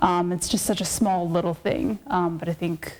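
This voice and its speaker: A woman's fairly low voice in an American accent at a moderate pace. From South Dakota (Sioux Falls). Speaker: political science academic. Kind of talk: interview.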